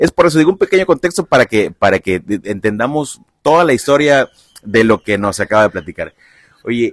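Very wide pitch swings mark this man's speech at a moderate pace. The sound is dry and close, with no echo. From Mexico, Veracruz (Lerdo de Tejada). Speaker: podcast host. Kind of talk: casual interview. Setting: outdoors at a football field.

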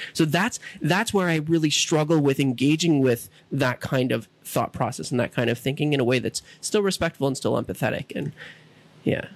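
A man speaks in a normal speaking voice, his pitch fairly high with ordinary variation. He talks at a moderate pace. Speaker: podcast host. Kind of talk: casual chat.

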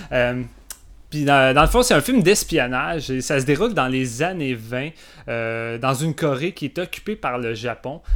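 A man speaks in a Quebec accent at a fairly slow pace. His medium pitch shows ordinary variation. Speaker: film podcast guest. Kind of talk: casual chat.

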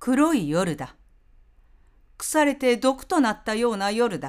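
The speech moves at a very slow pace with very wide pitch swings on a very clean recording with a silent background. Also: woman. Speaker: narrator. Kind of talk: reading aloud.

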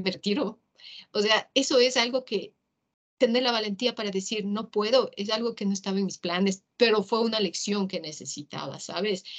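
Here is a woman with a plain, everyday voice. Her pitch sits fairly high. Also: ordinary pitch variation, moderate pace. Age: 50s. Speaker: motivational speaker. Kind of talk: casual interview.

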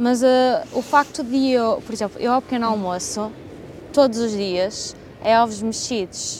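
Against noticeable background noise, a woman with a fairly high pitch and ordinary pitch variation speaks at a fairly slow pace with long, frequent pauses. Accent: European Portuguese. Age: 20s. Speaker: podcast host. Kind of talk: scripted narration.

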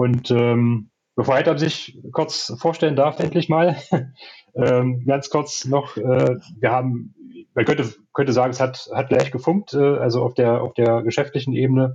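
Somewhat breathy and medium in pitch, a man speaks at a fairly slow pace with fairly even intonation. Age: 30s. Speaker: entrepreneur and SEO manager. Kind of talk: casual interview. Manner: hesitant with many fillers.

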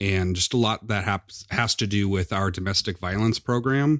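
A man speaks at a fairly low pitch with a Midwestern American accent, on a very clean recording with a silent background. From US Midwest, Quad Cities (Iowa-Illinois border). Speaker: domestic violence program supervisor. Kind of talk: interview.

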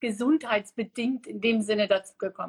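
At a moderate pace, a woman speaks with high pitch in a dry, close sound with no echo. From Namibia. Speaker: guest sharing diet experience. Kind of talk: casual interview on a livestream. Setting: Instagram live stream.

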